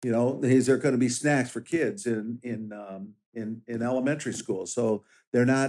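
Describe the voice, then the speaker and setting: At a medium pitch and moderate pace, a man speaks in a plain, everyday voice whose pitch varies in an ordinary way. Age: 60s. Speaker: sheriff candidate and police officer. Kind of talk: interview.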